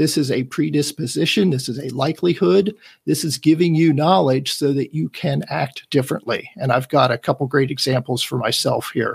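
A man with fairly high pitch and vocal fry talks at a fairly quick pace with hardly any pauses. His pitch variation is ordinary. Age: 50s. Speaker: tech enthusiast guest. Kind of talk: casual chat presentation.

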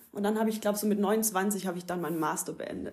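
This woman speaks with a Swabian accent. Her pitch is fairly high. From southern Germany, Ulm area (Swabia). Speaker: yoga teacher. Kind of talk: casual chat. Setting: at the host's home.

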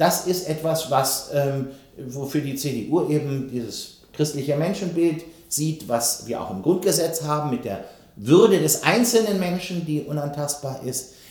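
Against noticeable background noise and audible room echo, a man with a fairly high pitch speaks at a fairly slow pace with lively intonation. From West Germany. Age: 50s. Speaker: politician. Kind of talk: interview. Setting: studio.

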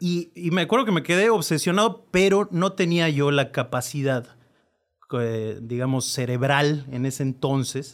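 A normal speaking voice from a man, fairly high in pitch, with lively intonation at a fairly slow pace. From Mexico, born in La Rioja, Argentina. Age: 30s. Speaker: political staffer and writer. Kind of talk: casual chat.

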